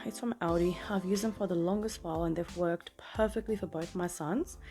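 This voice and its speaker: Amid noticeable background noise, a soft-spoken woman of medium pitch talks at a fairly quick pace with hardly any pauses and ordinary pitch variation. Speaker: family vlogger, mother of two. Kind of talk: casual vlog tutorial.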